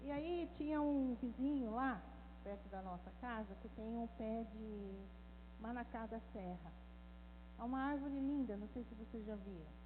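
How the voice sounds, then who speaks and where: A woman speaks at a fairly slow pace with long, frequent pauses. Audible room echo fills the recording. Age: 60s. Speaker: women's ministry speaker, former missionary. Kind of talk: talk. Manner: animated.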